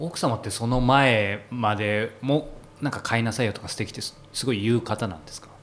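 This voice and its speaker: A man talks with big swings in loudness. Noticeable background noise sits behind him. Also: medium pitch for a man, ordinary pitch variation, moderate pace. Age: 30s. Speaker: podcast host and interviewer. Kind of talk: casual interview chat.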